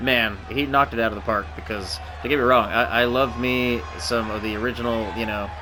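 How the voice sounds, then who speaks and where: A man's lively intonation over music in the background. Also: medium pitch for a man, fairly quick pace. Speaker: gaming commentator. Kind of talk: wrestling game commentary. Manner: casual, playful.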